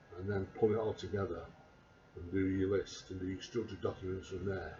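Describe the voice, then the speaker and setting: Noticeable background noise sits behind a man's voice. His pitch is very deep and low, and his intonation is flat and monotone. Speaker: vlogger. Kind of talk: casual monologue. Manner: halting. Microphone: quiet recording level.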